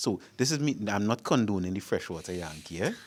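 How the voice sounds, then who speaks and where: A man with a Trinidadian accent talks at a moderate pace in a fairly low pitch. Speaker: panel guest. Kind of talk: panel discussion.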